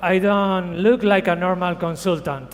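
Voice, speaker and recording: This man talks at a fairly slow pace with a Spanish accent, his voice high-pitched with ordinary variation. Audible room echo surrounds him. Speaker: creative director and tattoo artist. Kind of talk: conference talk. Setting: stage with audience. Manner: halting.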